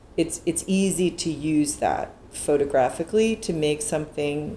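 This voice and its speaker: Talking at a fairly slow pace, a woman has a very deep, low pitch with ordinary pitch variation. Noticeable background noise is present. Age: 50s. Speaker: photographer. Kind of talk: interview. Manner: halting.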